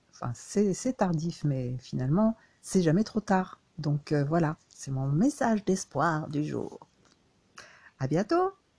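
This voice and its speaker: In dry, close sound with no echo, a woman with a fairly low, somewhat breathy voice speaks very slowly with lively intonation and long, frequent pauses. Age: 60s. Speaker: crafts vlogger. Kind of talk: personal reflection monologue. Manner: halting, many hesitations and repetitions.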